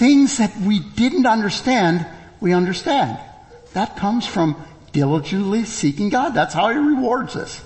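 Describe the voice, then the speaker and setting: There's noticeable background noise behind this man. His voice is high and swings very widely in pitch. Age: 60s. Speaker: preacher. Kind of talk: sermon. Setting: church.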